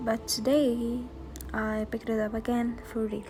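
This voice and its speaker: A non-native accent at a fairly slow pace, with noticeable background noise. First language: not English. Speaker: booktuber. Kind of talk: scripted narration.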